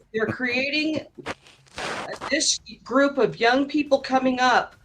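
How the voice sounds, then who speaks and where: Music plays in the background. A woman speaks at a high pitch and a very slow pace. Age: 60s. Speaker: debate participant. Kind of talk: live debate.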